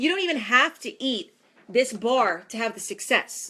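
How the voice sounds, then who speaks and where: In a very clean recording with a silent background, a woman with an American accent speaks in a raised, projected voice at a high pitch, her tone animated, bright and sharp, her pitch swinging very widely at a fairly slow pace. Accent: New York, sometimes strong. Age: 40s. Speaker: fitness trainer. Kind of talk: facebook live talk. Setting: live video stream.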